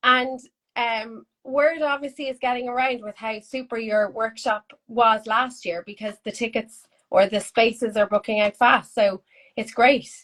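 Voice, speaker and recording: A woman speaks at a fairly slow pace with an Irish accent. Her pitch is fairly high and her intonation fairly even. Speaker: art school host. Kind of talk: casual chat.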